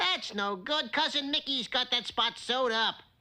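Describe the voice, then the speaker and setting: Speaking at a moderate pace, a cartoonish character voice sits at a fairly high pitch. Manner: brash, ungrammatical street talk.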